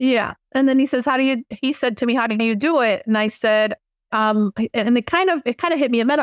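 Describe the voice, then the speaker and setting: A woman with a high pitch and an American accent speaks very fast with ordinary pitch variation. The recording is very clean, with a silent background and a dry, close sound with no echo. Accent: Miami Cuban American English. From Miami, Cuban American. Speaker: spiritual teacher and author. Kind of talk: casual interview. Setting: podcast interview.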